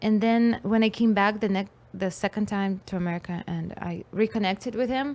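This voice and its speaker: A woman with a Russian accent speaks at a moderate pace, her pitch sitting in the medium range. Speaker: musician and comedian. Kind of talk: casual chat. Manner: animated.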